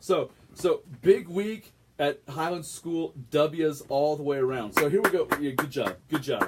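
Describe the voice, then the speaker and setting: Over music in the background, a man speaks at a fairly slow pace with a fairly high pitch, an animated tone and lively intonation. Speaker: community web show host. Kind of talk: casual chat with school sports updates. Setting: live Facebook video stream. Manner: loud.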